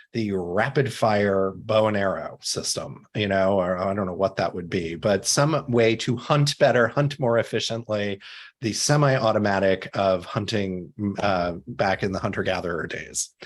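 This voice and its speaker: An ordinary speaking voice in an American accent, fairly slow with ordinary pitch variation, in a very clean recording with a silent background. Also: man. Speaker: CEO and author, empathy expert. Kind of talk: podcast interview.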